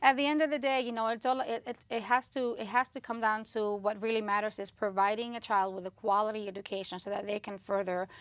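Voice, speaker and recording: A woman with a Spanish accent, fairly high pitch and fairly even intonation, at a very fast pace with hardly any pauses, on a very clean recording with a silent background. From Southwest Yonkers, New York (came at age ten from Spanish-speaking country). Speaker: county legislator. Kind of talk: interview.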